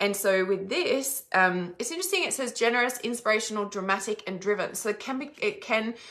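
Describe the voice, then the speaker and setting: A woman's bright, sharp voice with an Australian accent, fairly high in pitch, at a fairly quick pace. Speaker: psychic reader. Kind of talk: live stream psychic reading.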